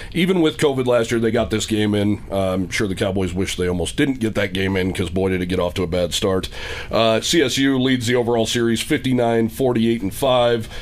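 Over noticeable background noise, a man talks at a moderate pace with medium pitch, ordinary pitch variation and hardly any pauses. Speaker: radio host. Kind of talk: live radio sports show. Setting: live from a store, radio broadcast.

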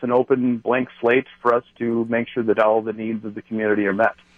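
This man has an American accent and a plain, everyday voice. He talks at a moderate pace and a medium pitch. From Wisconsin, Waukesha. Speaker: local politician. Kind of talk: phone-in discussion.

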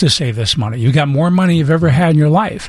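A man's voice is fairly high and somewhat breathy. His pitch varies in an ordinary way. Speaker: financial advisor. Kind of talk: casual radio chat.

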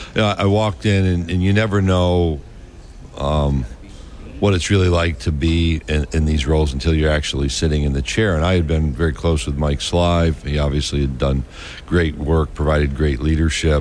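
Over noticeable background noise, a man speaks at a very deep, low pitch and a moderate pace. His loudness stays very even, with ordinary pitch variation. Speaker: college sports administrator. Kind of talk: press conference. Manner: halting.

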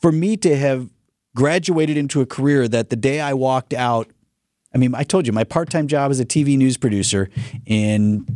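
A man with an American accent has an ordinary speaking voice, a fairly high pitch and lively intonation. The background is quiet, and the sound is dry and close with no echo. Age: 40s. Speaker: radio news host. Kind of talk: morning radio talk. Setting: radio studio.

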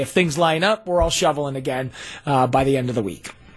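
A man's speech, with ordinary pitch variation, comes through noticeable background noise. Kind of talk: casual radio interview with weather forecast.

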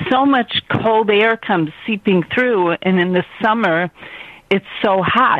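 At a very slow pace, a woman with an American accent speaks in a medium pitch with ordinary pitch variation. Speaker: caller. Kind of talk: radio call-in, describing a home problem. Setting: phone call.

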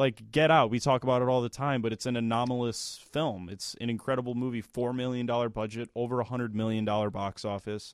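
A man speaks at a very fast pace in a medium pitch, with fairly even intonation and hardly any pauses. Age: 20s. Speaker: radio podcast co-host. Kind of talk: casual chat and interview; news segment.

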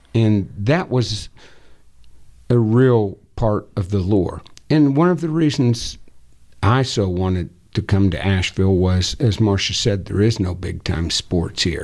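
A man with a normal speaking voice talks at a fairly slow pace and fairly low pitch, with lively intonation. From western Pennsylvania, near Pittsburgh. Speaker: radio co-host, former football coach. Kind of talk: casual chat. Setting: studio.

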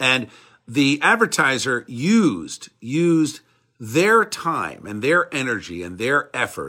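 On a very clean recording with a silent background, a man with an American accent sounds animated, his fairly high-pitched voice bright and sharp with vocal fry. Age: 50s. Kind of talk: live-stream monologue answering viewer chat. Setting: Facebook Live video stream.

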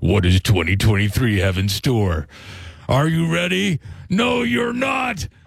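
A man speaks in a put-on character voice, raspy and fairly low-pitched. His pace is very slow. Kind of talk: dramatic, foreboding. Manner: ominous, menacing.

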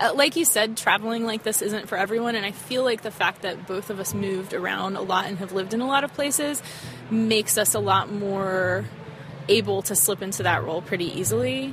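With noticeable background noise, a woman with an American accent talks at a fairly quick pace at a medium pitch with lively intonation. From US South, Arkansas. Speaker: touring musician. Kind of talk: casual chat. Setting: outdoors.

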